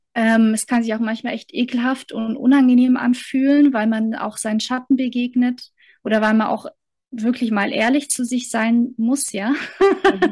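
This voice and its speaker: This woman's high-pitched voice moves at a moderate speed. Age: 30s. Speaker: mentor and coach. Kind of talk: interview.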